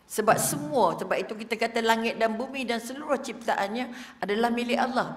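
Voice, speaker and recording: A woman's high-pitched voice with audible room echo and noticeable background noise. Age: old. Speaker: religious teacher. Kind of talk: religious lecture. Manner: animated.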